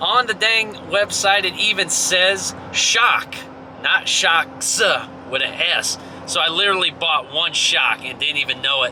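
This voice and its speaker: Delivered at a moderate pace, the speech has an animated tone and ordinary pitch variation over noticeable background noise. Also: man. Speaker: truck owner doing DIY repair review. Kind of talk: casual DIY tutorial vlog. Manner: casual, animated.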